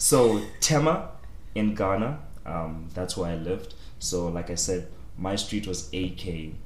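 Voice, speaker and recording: Pausing long and often, a man with a very deep, low, somewhat breathy voice speaks at a fairly slow pace with lively intonation. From southern Africa. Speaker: podcast guest. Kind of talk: casual chat.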